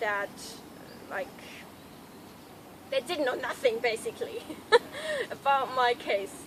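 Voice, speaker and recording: Speaking at a fairly slow pace with a German accent, this woman has a high voice and lively intonation over noticeable background noise. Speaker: health vlogger. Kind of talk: casual talk to camera.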